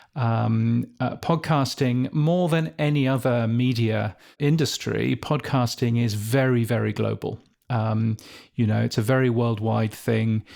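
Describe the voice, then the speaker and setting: In a very clean recording with a silent background, a man with a British accent speaks at a medium pitch. His pace is fairly slow and his loudness very even. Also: ordinary pitch variation. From England. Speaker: podcast industry editor. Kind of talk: interview. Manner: hesitant, many fillers.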